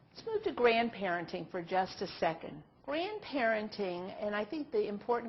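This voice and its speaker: Over noticeable background noise, a woman speaks at a fairly slow pace in a medium pitch. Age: 60s. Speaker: nurse trainer. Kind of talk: online training presentation. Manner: conversational.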